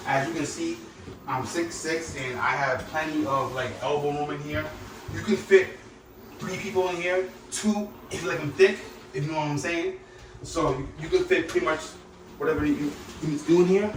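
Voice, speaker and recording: Amid noticeable background noise and audible room echo, a man with a New York accent and a fairly high pitch talks at a moderate pace with long, frequent pauses. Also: ordinary pitch variation. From New York City (Bronx). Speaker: landlord vlogger. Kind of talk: casual vlog walkthrough. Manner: casual, joking.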